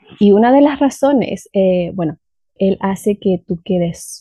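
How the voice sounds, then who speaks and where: Over a quiet background, a woman speaks at a fairly slow pace and a medium pitch. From southern Chile, Valdivia. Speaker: language teacher. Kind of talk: storytelling.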